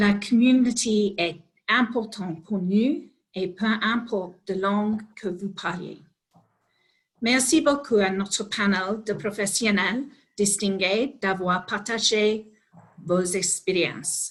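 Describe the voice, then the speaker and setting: A woman talks very slowly in an English accent. Her medium-pitched voice is somewhat breathy, with ordinary pitch variation. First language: English (speaking French). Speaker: organisation executive, webinar opener. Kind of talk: formal webinar welcome. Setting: online webinar.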